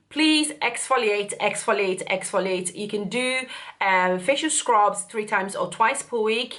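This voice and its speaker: A woman talks at a medium pitch and a fairly slow pace. She has an unremarkable speaking voice. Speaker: beauty youtuber. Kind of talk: product review.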